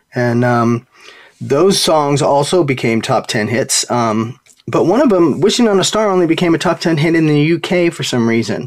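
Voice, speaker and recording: Speaking in an unremarkable speaking voice, a man uses fairly high pitch and lively intonation at a moderate pace. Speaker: radio show host. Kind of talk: radio DJ patter, upbeat show intro and sign-off. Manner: warm, polished, upbeat broadcaster cadence with friendly filler.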